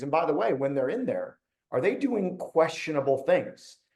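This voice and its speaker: A man speaks at a fairly quick pace, high in pitch yet dark and mellow in tone. His pitch swings very widely. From Cleveland, Ohio, US Midwest. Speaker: webinar host, cybersecurity executive. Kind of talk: webinar presentation. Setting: online webinar. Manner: casual, conversational.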